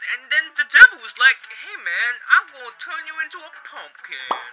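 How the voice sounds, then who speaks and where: The speaker's tone is upbeat, at a moderate pace. Music plays in the background. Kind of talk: comedy infomercial parody to camera. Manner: upbeat, jokey.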